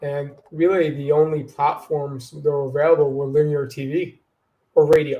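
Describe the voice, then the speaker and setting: A man with an American accent talks at a moderate pace, somewhat breathy, with monotone, flat intonation. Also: fairly high pitch for a man, big swings in loudness. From Long Island, New York. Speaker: marketing director. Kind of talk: interview.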